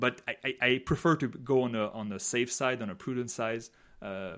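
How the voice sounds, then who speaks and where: This man speaks at a medium pitch with a French accent. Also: very clean recording, silent background. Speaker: podcast co-host, polling analyst. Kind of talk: casual chat.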